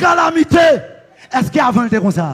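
Shouting over crowd noise in the background, a man in a Haitian accent speaks with an animated tone and lively intonation. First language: Haitian Creole (speaking French). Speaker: pastor. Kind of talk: sermon.

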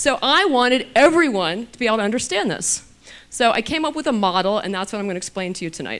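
Her voice fairly high, a woman rushes along at a very fast pace with very wide pitch swings. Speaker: physician and anti-aging author. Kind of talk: lecture. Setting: stage with audience. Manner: casual, humorous. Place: hall. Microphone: handheld.

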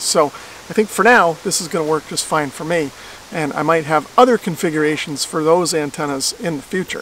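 The voice moves at a fairly quick pace with ordinary pitch variation. The sound is dry with no echo, over light background noise. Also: man. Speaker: amateur radio hobbyist. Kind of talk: tutorial. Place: open country.

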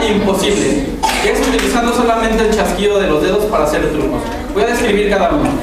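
Against loud background noise and audible room echo, a man talks at a very fast pace. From Mexico. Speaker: spinning-top performer. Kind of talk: live demonstration for schoolchildren. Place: hall.

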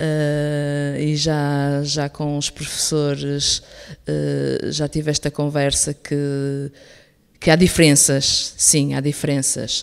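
Against a quiet background, a woman with a very deep, low pitch speaks very slowly in a northern Portuguese accent, her intonation monotone and flat. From northern Portugal, Penafiel; northern Portugal. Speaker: school director. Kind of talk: radio interview. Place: studio.

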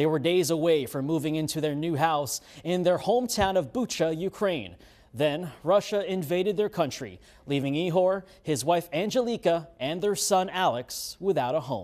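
Very clean recording with a silent background, a high-pitched man at a moderate pace, lively intonation. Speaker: TV news anchor and sports reporter. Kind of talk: TV news anchor and field reporter delivery.

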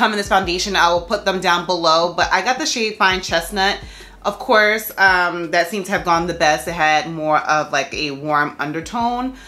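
At a moderate pace, a woman speaks in a fairly low voice with ordinary pitch variation. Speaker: beauty vlogger. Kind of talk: tutorial. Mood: excited, upbeat. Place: home room.

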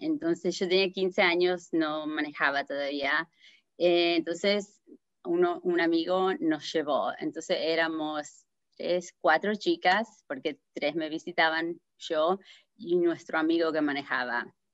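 A woman's fairly low voice in an Argentine accent, at a very slow pace with ordinary pitch variation, dry with no echo, over a quiet background. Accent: Argentine Spanish (Rioplatense). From New Jersey, US (Argentine-born, moved at seven). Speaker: accident survivor sharing her story; interview guest. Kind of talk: testimony; interview answer, personal story. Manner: halting, many fillers. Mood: earnest, recounting a tragedy. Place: home room. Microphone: video call.

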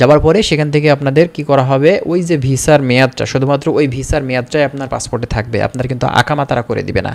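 This man has a plain, everyday voice. It sits fairly high in pitch with fairly even intonation. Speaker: YouTube visa-information presenter. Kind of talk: informational video talk to viewers.

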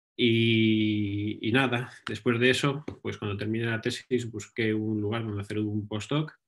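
Against a quiet background, a man speaks at medium pitch with a Castilian accent and fairly even intonation. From Spain, Ávila; Spain. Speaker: research scientist. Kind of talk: lecture. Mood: relaxed, friendly. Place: home room. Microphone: webcam.

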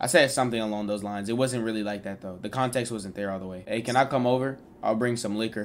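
This man speaks at a very fast pace, his pitch medium. Light background noise sits behind him. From Texas. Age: 20s. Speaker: streamer. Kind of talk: casual chat. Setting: video call. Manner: animated. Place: home room.

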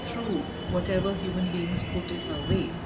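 A woman speaks against loud background noise. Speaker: interviewee. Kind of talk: interview answer. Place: street.

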